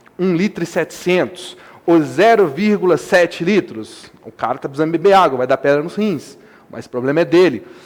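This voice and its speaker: Speaking at a moderate pace, a man with a high pitch uses ordinary pitch variation. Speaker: math teacher. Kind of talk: lecture. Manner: animated.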